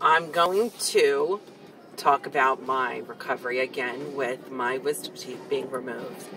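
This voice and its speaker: Music sounds in the background. Over it, a woman talks very slowly. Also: dry sound with no echo. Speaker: vlogger. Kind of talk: casual vlog chat. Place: car. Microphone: phone near.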